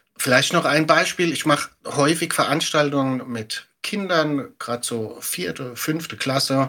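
At a fairly slow pace, a man with a fairly high pitch speaks in a bright, sharp tone with ordinary pitch variation.

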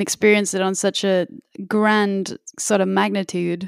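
A woman with an English accent, recorded very cleanly against a silent background, the sound dry and close with no echo. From England. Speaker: musician and music teacher. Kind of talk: casual podcast chat.

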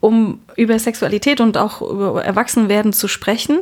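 This woman has a plain, everyday voice with fairly high pitch. Her pace is moderate and her pitch variation ordinary. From Berlin, Germany. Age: 40s. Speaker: gynecologist, head physician. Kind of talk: casual interview. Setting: on-call room in a hospital.

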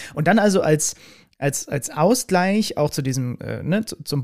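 On a very clean recording, a man talks against a silent background. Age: 30s. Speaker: podcast host and sports commentator. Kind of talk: interview conversation.

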